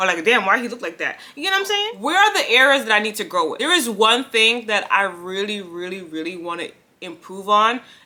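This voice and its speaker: A woman's fairly high voice, bright and sharp in tone, with lively intonation. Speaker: lifestyle vlogger. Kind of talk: casual vlog monologue. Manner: fast, mumbles and runs words together.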